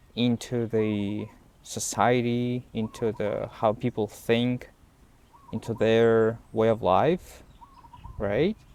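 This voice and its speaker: A man's medium-pitched voice with a non-native accent and monotone, flat intonation over noticeable background noise. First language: Russian. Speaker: language learning vlogger. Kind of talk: unscripted talk to camera. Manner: halting, many fillers and repetitions.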